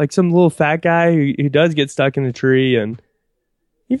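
A man talks at a fairly quick pace in a fairly high voice. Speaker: seminarian. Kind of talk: casual chat. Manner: loud.

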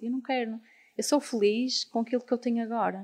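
This woman has a medium pitch and a plain, everyday voice. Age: 20s. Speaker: artist and designer. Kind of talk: casual interview. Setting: live recording with audience.

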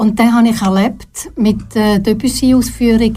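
A somewhat breathy woman with an Appenzell accent and a dark, mellow tone, in audible room echo. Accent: Swiss German, Appenzell dialect. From eastern Switzerland, Appenzell (Herisau). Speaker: retired TV announcer and presenter, therapist. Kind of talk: studio interview. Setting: radio studio.

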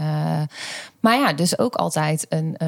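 The woman's delivery is fairly slow. You can hear noticeable background noise around her. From Netherlands, North Brabant (Schijndel). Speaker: pedagogy lecturer. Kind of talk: personal testimony in an interview.

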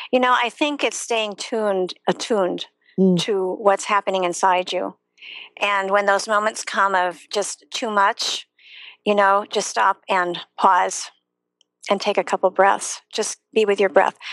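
A woman with an American accent and a normal speaking voice talks at a fairly slow pace in a medium pitch, with fairly even intonation and a dry, close sound with no echo. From US Midwest, Chicago area. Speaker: yoga teacher and former schoolteacher. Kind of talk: live online interview.

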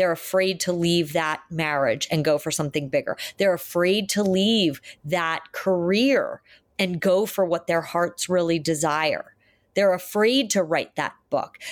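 A woman with a plain, everyday voice speaks at a fairly low pitch and a fairly slow pace, with ordinary pitch variation and very even loudness. The recording is very clean, with a silent background. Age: 50s. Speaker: psychotherapist. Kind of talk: interview.

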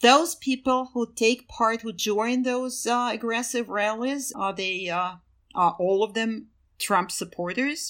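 A woman speaks very slowly with a Russian accent. Her fairly high voice has ordinary pitch variation. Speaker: podcast host, research program associate. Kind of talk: interview.

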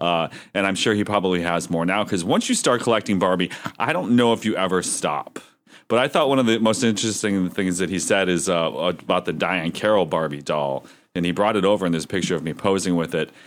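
A man with an American accent talks at a very fast pace. His voice is very deep and low, with ordinary pitch variation. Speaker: podcast host. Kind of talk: casual chat.

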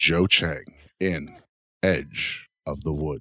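A man's put-on character voice, very deep and low, with a dramatic tone. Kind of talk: promo voiceover. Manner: dramatic announcer voice.

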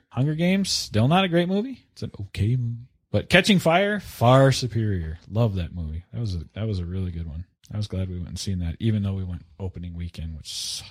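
Somewhat breathy and fairly low-pitched, a man talks at a very fast pace with very wide pitch swings and big swings in loudness. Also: very clean recording, silent background. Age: 40s. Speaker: podcast host. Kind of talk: casual chat.

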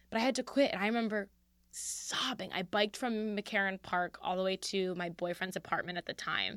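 In an unremarkable speaking voice, a woman with an American accent talks at a fairly quick pace and medium pitch. The recording is very clean, dry and close, with no echo and a silent background. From Philadelphia. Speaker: comedian. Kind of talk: casual chat.

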